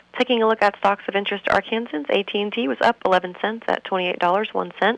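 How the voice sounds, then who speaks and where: Speaking at a very fast pace, a woman holds a medium pitch. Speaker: financial advisor. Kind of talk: market report reading. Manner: brisk, even reading of numbers.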